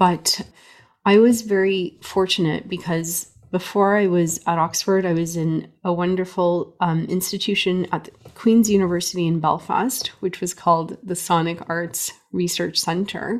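A woman's plain, everyday voice, fairly low in pitch, with fairly even intonation and a fairly slow pace. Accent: Canadian. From Canada. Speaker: music professor. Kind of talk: interview.

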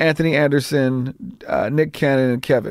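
Speaking at a moderate pace with fairly even intonation, a man with a fairly high pitch talks in an American accent. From Los Angeles, California. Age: 50s. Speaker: comedian and TV writer-director. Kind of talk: casual interview chat. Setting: garage studio.

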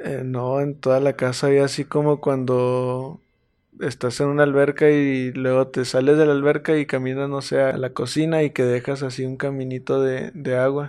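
A man speaks at medium pitch with monotone, flat intonation. His pace is moderate. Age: 20s. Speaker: guest sharing paranormal experiences. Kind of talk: personal story telling.

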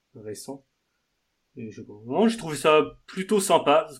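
A man's fairly slow delivery with ordinary pitch variation. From Normandy, France. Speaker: podcast host. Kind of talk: casual chat.

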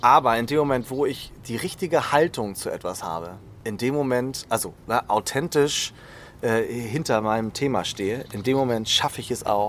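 A man speaks at a medium pitch and a moderate pace, his pitch varying in an ordinary way. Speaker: executive coach. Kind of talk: interview. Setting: outdoors in a garden.

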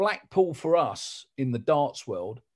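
A man speaks with a London accent. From South London. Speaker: sports announcer. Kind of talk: casual chat.

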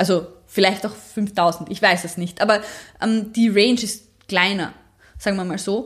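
A somewhat breathy woman's voice of medium pitch, with fairly even intonation. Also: moderate pace. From Austria, Graz. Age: 30s. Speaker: powerlifter. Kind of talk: interview.

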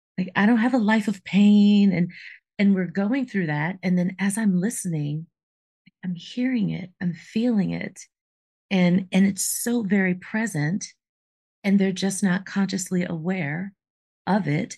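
A dark, mellow, somewhat breathy voice at a fairly slow pace, with long, frequent pauses and ordinary pitch variation. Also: woman, medium pitch for a woman. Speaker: podcast co-host, life coach. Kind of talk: casual chat.

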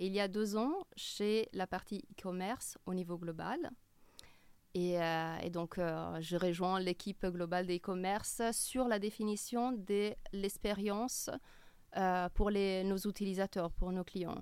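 Speaking very slowly, a woman has an Italian accent and a medium pitch. Her intonation is fairly even, and the recording is very clean with a silent background. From Italy, Milan. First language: Italian (speaking French). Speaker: e-commerce customer experience director. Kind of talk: interview. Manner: hesitant.

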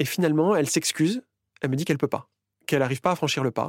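Recorded very cleanly against a silent background, a man's dry, close voice with no echo sits at a fairly high pitch and moves with ordinary pitch variation. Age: 40s. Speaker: interviewee sharing personal story. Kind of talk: personal testimony.

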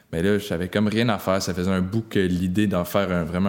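In a very clean recording with a silent background, a man speaks in an unremarkable speaking voice at a fairly low pitch with fairly even intonation. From Quebec, Haute-Gaspésie. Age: 20s. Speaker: bike shop owner. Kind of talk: casual interview.

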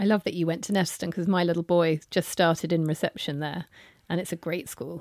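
Spoken at a fairly quick pace with fairly even intonation in a southern English accent, the voice sounds dry and close with no echo on a very clean recording with a silent background. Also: woman, fairly low pitch for a woman. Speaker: podcast host. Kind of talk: interview. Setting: guest's office.

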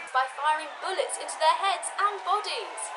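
Over noticeable background noise, a woman with an extremely high pitch speaks in a raised, projected voice at a fairly quick pace with lively intonation. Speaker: comedic field reporter character. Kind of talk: mock news report.

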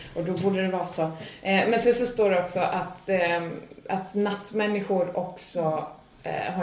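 Over noticeable background noise and audible room echo, a woman with a medium pitch speaks at a moderate pace with fairly even intonation. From Sweden. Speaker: stand-up comedian and podcast co-host. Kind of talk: casual chat.

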